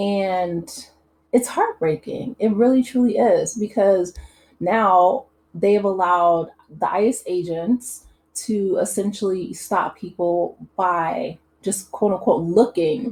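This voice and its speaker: A woman with an American accent speaks at a medium pitch, her somewhat breathy voice showing ordinary pitch variation. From US Midwest. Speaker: YouTube commentator. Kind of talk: casual commentary monologue. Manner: hesitant, many fillers.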